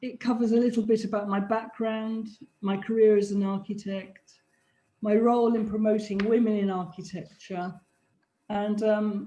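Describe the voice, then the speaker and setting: Somewhat breathy, a woman with a British accent talks at a moderate pace in a fairly high pitch. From England, Polish household. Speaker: architect. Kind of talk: lecture. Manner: formal.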